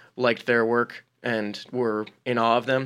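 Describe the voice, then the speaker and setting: A man with an American accent and an ordinary speaking voice, medium in pitch, with fairly even intonation, on a very clean recording with a silent background. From New Jersey. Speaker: comedy writer. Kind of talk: casual chat.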